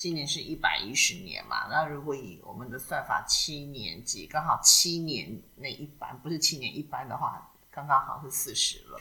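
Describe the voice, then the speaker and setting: A woman talks at a moderate pace with hardly any pauses and big swings in loudness. Noticeable background noise sits behind her. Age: 40s. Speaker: podcast co-host. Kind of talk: casual chat.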